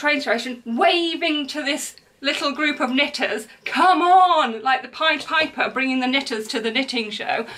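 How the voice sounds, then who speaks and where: Over a quiet background, a woman uses a raised, projected voice with lively intonation. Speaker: crochet podcaster. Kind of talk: casual vlog chat. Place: home room. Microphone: camera far.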